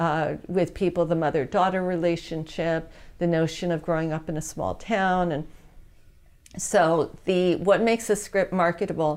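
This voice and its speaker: A woman speaks in an ordinary speaking voice with an American accent, fairly low in pitch and with fairly even intonation, at a moderate pace. The recording is very clean, with a silent background. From New York. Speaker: entertainment consultant. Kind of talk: interview.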